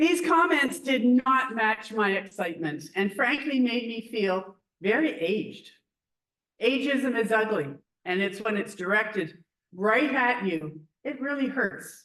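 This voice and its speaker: An ordinary speaking voice from a woman, fairly high in pitch, with lively intonation at a fairly slow pace. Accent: Canadian. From Canada, Ontario. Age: 60s. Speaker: theology graduate student presenter. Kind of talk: academic presentation. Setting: podium before live audience.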